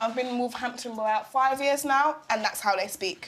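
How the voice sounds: A woman speaks in a high pitch with ordinary pitch variation. Noticeable background noise is present.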